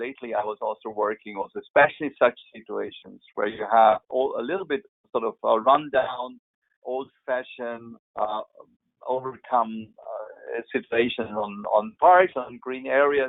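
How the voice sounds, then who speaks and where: A man talks at medium pitch and a moderate pace with a German accent. His pitch varies in an ordinary way. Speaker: landscape architect. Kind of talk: webinar Q&A. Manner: halting.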